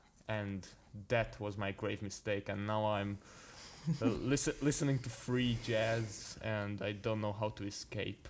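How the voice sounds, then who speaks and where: A man speaks at a fairly low pitch with a non-native accent. His pace is fairly slow and his intonation fairly even. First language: not English. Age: young. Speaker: jazz pianist. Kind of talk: casual chat. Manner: halting.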